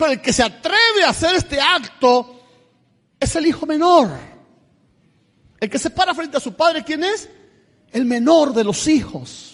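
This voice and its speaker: An extremely high-pitched man's voice, animated in tone with lively intonation. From Cuba, Camagüey province. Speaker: pastor. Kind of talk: sermon.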